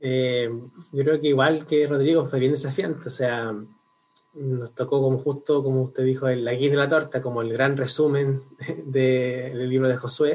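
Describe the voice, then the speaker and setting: A man's somewhat breathy voice with fairly even intonation. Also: medium pitch for a man, fairly slow pace. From Chile, Concepción. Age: 20s. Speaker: university student and lay preacher. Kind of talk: casual chat.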